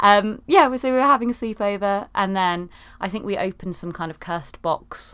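A woman with an English accent speaks at a fairly quick pace and medium pitch, with ordinary pitch variation. Her loudness swings widely on a very clean recording with a silent background. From UK. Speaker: podcast host. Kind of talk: casual chat.

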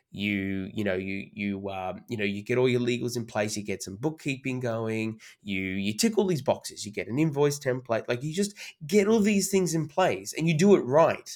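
A man with an Australian accent talks at a moderate pace. His medium pitch makes very wide swings. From Sydney, Australia. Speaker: master of ceremonies / entertainer. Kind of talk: casual interview chat. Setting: video call.

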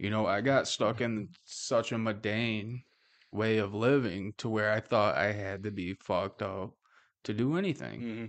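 Here is a man with an ordinary speaking voice, fairly low in pitch. He talks fairly slowly with fairly even intonation. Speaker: podcast host. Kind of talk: casual chat. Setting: office studio. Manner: casual, joking.

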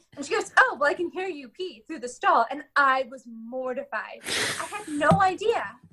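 Projecting a raised voice, a woman talks with an American accent at a high pitch. Her intonation is lively, with hardly any pauses. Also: moderate pace, big swings in loudness. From California. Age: 30s. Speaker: deaf actor and YouTuber. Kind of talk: interview. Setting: radio interview.

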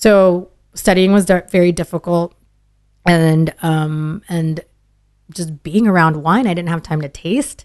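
At a very slow pace, a woman with an American accent speaks in a fairly low pitch with ordinary pitch variation, the sound dry and close with no echo. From Dallas, Texas suburbs (born Philippines). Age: 30s. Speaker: sommelier. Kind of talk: casual interview.

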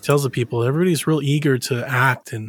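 A man with a medium pitch and ordinary pitch variation speaks at a fairly quick pace. His somewhat breathy voice comes through in a dry, close sound with no echo. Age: 30s. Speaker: video game podcast guest. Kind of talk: casual chat.

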